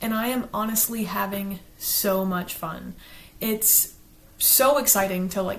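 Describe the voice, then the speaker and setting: A woman with an American accent talks at a medium pitch with fairly even intonation, and audible room echo surrounds her voice. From US South, South Carolina. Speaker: book reviewer, YouTuber. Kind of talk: casual chat, partly reading from a script.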